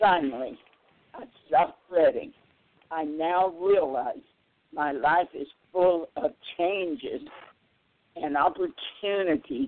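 Talking at a very slow pace with long, frequent pauses, a woman uses a fairly low voice with very wide pitch swings and big swings in loudness. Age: 90s. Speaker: wellness retreat owner and yoga teacher. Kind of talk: casual interview chat. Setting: phone call.

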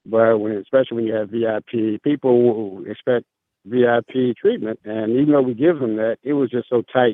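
This man has a normal speaking voice at medium pitch. He keeps a moderate pace with fairly even intonation. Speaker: jazz gala organizer, radio show guest.

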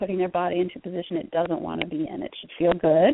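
Her voice is an unremarkable speaking voice, a woman at medium pitch talking at a moderate pace in an American accent. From Connecticut, US Northeast. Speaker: health coach and herbalist. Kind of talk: interview. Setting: phone call.

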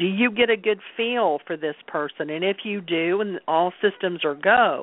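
At a fairly slow pace, a woman with a medium pitch talks in an unremarkable speaking voice. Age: 60s. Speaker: Reiki practitioner and card reader. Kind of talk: interview conversation.

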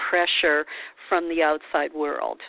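A woman talking at a moderate pace. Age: 50s. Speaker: radio host and life coach. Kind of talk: casual interview. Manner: halting, many fillers.

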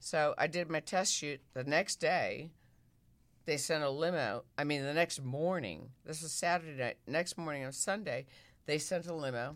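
A woman's very deep, low pitch comes with an American accent on a very clean recording with a silent background. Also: ordinary pitch variation, moderate pace. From US Midwest. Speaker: former magazine centerfold model. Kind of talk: interview, storytelling. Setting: studio.

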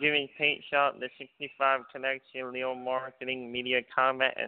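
With an unremarkable speaking voice, a man talks fairly slowly at a medium pitch. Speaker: podcast host. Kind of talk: casual chat.

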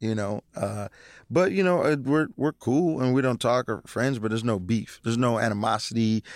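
The pace is moderate and the pitch variation ordinary. The sound is dry and close with no echo, in a very clean recording with a silent background. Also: man, medium pitch for a man. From Seattle, Washington. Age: 30s. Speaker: stand-up comedian. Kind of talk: casual chat. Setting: studio. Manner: halting, repeats words.

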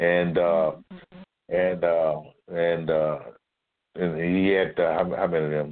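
A man with an Alabama accent, very deep and low in pitch, at a fairly slow pace, with monotone, flat intonation, very even loudness, and long, frequent pauses. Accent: Southern US (Alabama). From US South, Mobile, Alabama. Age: 70s. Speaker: retired military officer and community historian. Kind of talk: interview.

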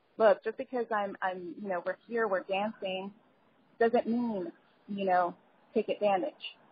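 With an American accent, a woman speaks at a moderate pace and fairly high pitch in an unremarkable speaking voice. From New York, the Bronx. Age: young. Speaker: singer and lawyer. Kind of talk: interview.

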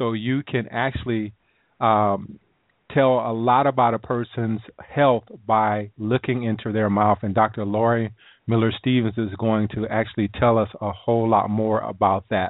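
A man with a Southern US accent talks at a fairly slow pace in a monotone, flat intonation. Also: medium pitch for a man. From US South, South Carolina. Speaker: health talk radio host. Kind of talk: radio interview. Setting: online call-in radio show. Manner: casual.

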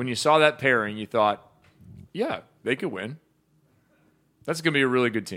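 A man with a medium pitch and lively intonation is heard in a very clean recording with a silent background. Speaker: volleyball show host. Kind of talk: casual sports talk show chat. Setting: live stream show.

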